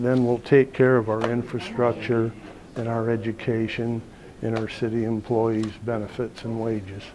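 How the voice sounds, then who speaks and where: With an American accent, a man talks at a moderate pace and a medium pitch. His intonation is monotone and flat, with noticeable background noise. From Indiana, Fort Wayne area. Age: 60s. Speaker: mayoral candidate. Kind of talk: interview.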